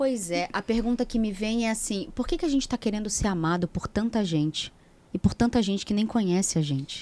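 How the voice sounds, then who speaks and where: A woman's fairly high, dark, mellow voice with lively intonation at a fairly quick pace. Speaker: speaker and mentor on mental health. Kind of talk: podcast conversation.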